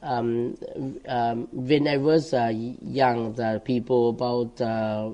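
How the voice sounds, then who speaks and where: At a very slow pace, a man speaks with a medium pitch, a dark, mellow tone and fairly even intonation. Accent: non-native. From southern Laos, Champasak province. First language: Lao. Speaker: Buddhist monk. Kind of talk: interview. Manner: halting.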